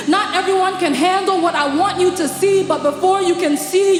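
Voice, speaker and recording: Over music in the background, a woman with an extremely high pitch speaks at a moderate pace with ordinary pitch variation. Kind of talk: live spoken word ministration / poetic sermon delivered in God's first-person voice. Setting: live worship event.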